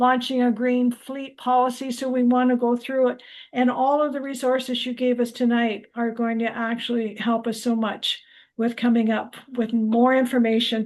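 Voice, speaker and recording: A woman with a Canadian accent speaks at a moderate pace and a high pitch in a flat monotone. The background is quiet. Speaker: local activist group member. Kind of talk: virtual meeting update.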